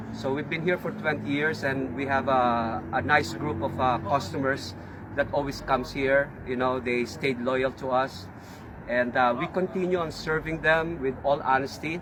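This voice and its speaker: A man speaks at a moderate pace with a Filipino accent. Noticeable background noise runs under his voice. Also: medium pitch for a man, ordinary pitch variation. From Philippines. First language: Filipino language (not English). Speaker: auto repair shop owner. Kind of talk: casual talk to camera. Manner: halting, many fillers.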